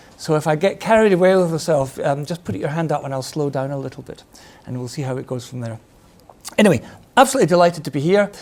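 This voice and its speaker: A man talks at a very fast pace with a Scottish accent. His intonation is lively and his loudness swings widely. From Scotland, Glasgow. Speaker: retired army officer and defence consultant. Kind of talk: lecture. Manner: hesitant, many fillers.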